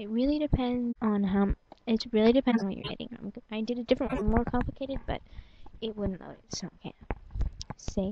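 Mumbling at a fairly quick pace, a woman speaks in a fairly high pitch. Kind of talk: screen-recording software tutorial. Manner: mumbly, hesitant.

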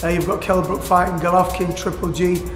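In a room with audible echo and faint music behind him, a man with a high pitch talks at a moderate pace. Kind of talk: interview answer. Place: gym.

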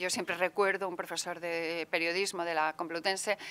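A woman's clear, smooth, fairly bright tone

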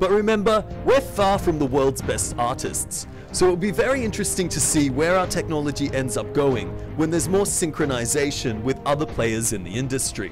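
Over music in the background, a man talks at a moderate pace with an Australian accent. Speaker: tech company CEO. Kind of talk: tech demo narration.

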